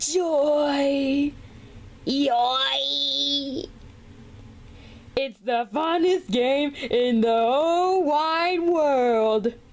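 In a put-on character voice, a woman speaks at a high pitch and a very slow pace, leaving long, frequent pauses, with light background noise behind her. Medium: dub. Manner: excited, upbeat.

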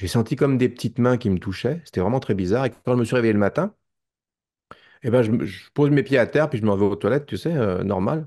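In a Parisian accent, a man talks at a fairly quick pace with lively intonation and a dark, mellow tone over a quiet background. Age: 50s. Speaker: documentary maker and witness; witness. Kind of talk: testimony. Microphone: video call.

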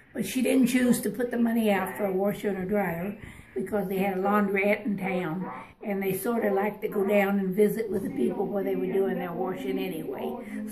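A woman talks fairly quickly with ordinary pitch variation while noticeable background noise carries on. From rural American Midwest. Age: 80s+. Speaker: museum visitor explaining history. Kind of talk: casual spoken explanation. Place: hall. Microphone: phone near.

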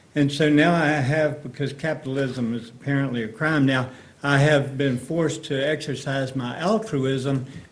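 At a moderate pace, a man with a fairly high pitch speaks in fairly even intonation amid audible room echo. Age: 80s+. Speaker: resident speaking at public hearing. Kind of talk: public comment at county board hearing.

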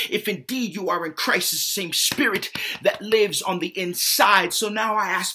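A man speaks at a fairly slow pace with lively intonation. The background is quiet. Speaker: spoken word poet. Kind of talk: spoken word poetry performance. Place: home room. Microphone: webcam.

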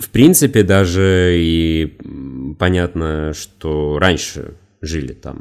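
This man speaks with a very deep, low pitch. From Russia, Khimki, Moscow region. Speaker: YouTube educational channel author. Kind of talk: solo podcast monologue. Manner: slow, measured.

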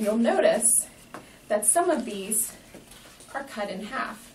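Amid light background noise, a woman talks at a fairly slow pace with ordinary pitch variation. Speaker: educator. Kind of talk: tutorial. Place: classroom. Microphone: camera far.

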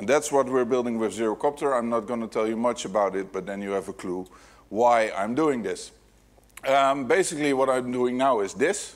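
A man talks at a moderate pace with a Dutch accent. His pitch rises and falls in an ordinary way. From Netherlands. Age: 40s. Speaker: security hacker, keynote speaker; keynote speaker. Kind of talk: conference keynote talk. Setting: stage with audience. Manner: animated. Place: hall.

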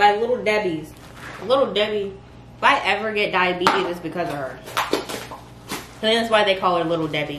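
With noticeable noise behind her, a woman speaks at a moderate pace and ordinary pitch variation. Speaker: vlogger. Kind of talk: casual vlog chat. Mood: playful, joking. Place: kitchen. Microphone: camera far.

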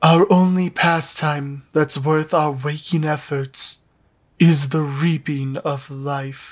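A put-on character voice from a man, fairly high in pitch, at a very slow pace. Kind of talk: solemn storytelling. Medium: fan dub. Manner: calm, formal, detached.

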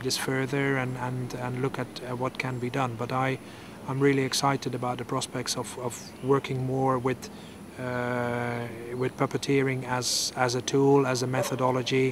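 Monotone, flat intonation comes at a moderate pace, the sound dry with no echo and noticeable background noise behind it. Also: man. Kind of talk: interview answer.

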